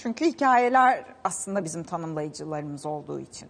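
Her pitch swings very widely. The woman talks at a moderate pace. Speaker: TV culture show host. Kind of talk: news-style book and event roundup; TV interview. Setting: TV studio. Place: studio.

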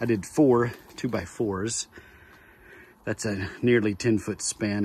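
A man's fairly low, somewhat breathy voice carries fairly even intonation in a dry sound with no echo. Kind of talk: tutorial. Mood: relaxed, folksy. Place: open country. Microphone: phone near.

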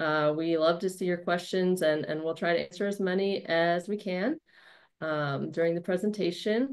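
The pace is moderate. The background is quiet. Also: woman. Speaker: webinar host, content marketing specialist. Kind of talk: webinar moderator introduction. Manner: friendly, upbeat. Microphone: webcam.

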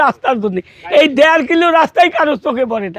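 A man speaks at an extremely high pitch. He has a northern Bangladeshi accent. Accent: rural northern Bangladeshi dialect. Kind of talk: complaint to camera.

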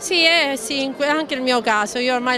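A woman at a fairly slow pace, with crowd noise in the background. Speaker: local TV news presenter and street reporter. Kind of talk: news reading.

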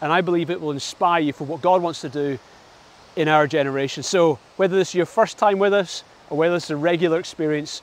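A man's high, very fast voice with fairly even intonation and a dry sound with no echo. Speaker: pastor. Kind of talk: sermon. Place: waterside. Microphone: lapel.

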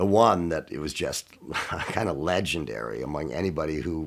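A man speaks at a moderate pace in a very deep, low voice with vocal fry. The background is quiet. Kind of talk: interview answer. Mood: warm, amused nostalgia. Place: studio.

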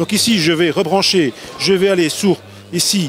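A fairly bright tone at a moderate pace, with ordinary pitch variation over faint background noise. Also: man, high pitch for a man.

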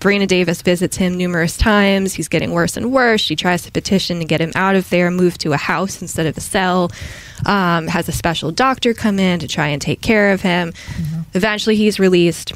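An ordinary speaking voice from a woman with an American accent, fairly low in pitch, ordinary in pitch variation, at a fairly quick pace. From Massachusetts, near Boston. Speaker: historian. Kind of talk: casual interview.

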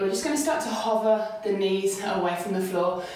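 Medium-pitched woman at a moderate pace, in strong room echo. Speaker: yoga instructor. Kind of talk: guided yoga workout instruction. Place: home room. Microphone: camera far.

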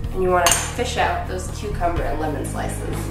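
With clear music in the background and audible room echo, a woman talks at a moderate pace. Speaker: home cooking show host. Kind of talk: tutorial. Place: kitchen. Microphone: camera far.

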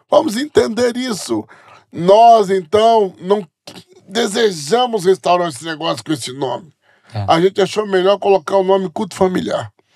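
Against a quiet background, a man speaks in a high voice with lively intonation. His pace is moderate. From Brazil, Bahia (Jequié); Bahia, Brazil. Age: 40s. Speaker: pastor. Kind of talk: interview. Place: studio. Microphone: studio mic.

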